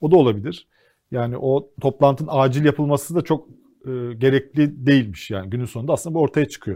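A man's very fast, somewhat breathy delivery with a dark, mellow tone against a quiet background. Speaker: TV co-host. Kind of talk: casual political talk show.

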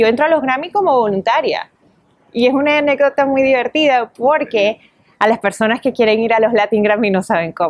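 Lively intonation at a fairly quick pace, with very even loudness throughout. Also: woman, high pitch for a woman. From Venezuela. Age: 30s. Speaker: entertainment reporter and radio host. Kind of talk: interview.

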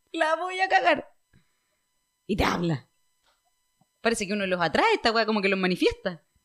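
Using a Chilean accent, a woman speaks at a fairly high pitch with very wide pitch swings and long, frequent pauses. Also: moderate pace. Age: 20s. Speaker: podcast host. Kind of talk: casual chat.

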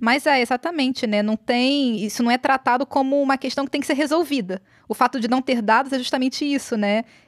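The speaker talks at a fairly quick pace with hardly any pauses and ordinary pitch variation, in a dry, close sound with no echo. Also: woman, high pitch for a woman. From Brazil, Rio de Janeiro suburbs. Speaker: podcast host. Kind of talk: interview conversation.

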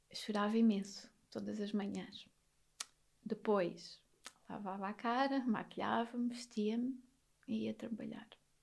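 Somewhat breathy and fairly high-pitched, the woman speaks in a monotone, flat way at a fairly slow pace with long, frequent pauses. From Alentejo, Portugal (near Beja). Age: 30s. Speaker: psychologist. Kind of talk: podcast interview, personal testimony.

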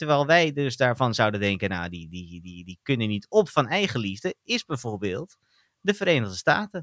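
A man's pitch swings very widely at a moderate pace. The recording is very clean, with a silent background. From Netherlands. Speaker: podcast co-host. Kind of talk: casual chat.

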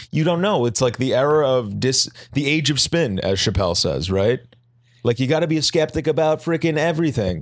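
A man with an American accent and an unremarkable speaking voice talks at a fairly quick pace in a fairly high pitch, with lively intonation and very even loudness on a very clean recording with a silent background. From Boston area. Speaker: podcast co-host, medical clinician. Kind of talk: casual chat.

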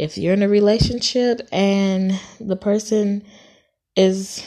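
Over a quiet background, a woman talks in an American accent. Her medium-pitched voice has a dark, mellow tone. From Los Angeles, Compton. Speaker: podcast host. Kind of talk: casual monologue.

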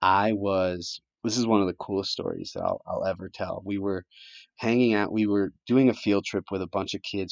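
With an American accent, a man speaks at a fairly quick pace in a fairly low voice. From Connecticut. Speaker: lacrosse nonprofit organizer. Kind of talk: casual interview chat. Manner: hesitant with fillers.

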